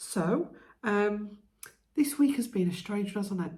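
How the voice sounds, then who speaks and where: Somewhat breathy delivery from a woman, moderate in pace. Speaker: lifestyle vlogger. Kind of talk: casual vlog chat. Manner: soft-spoken.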